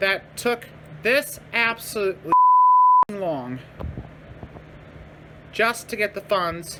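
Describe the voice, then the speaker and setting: Growling in a put-on character voice, a female-sounding speaker at medium pitch talks at a very slow pace with long, frequent pauses over light background noise. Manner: angry, growling.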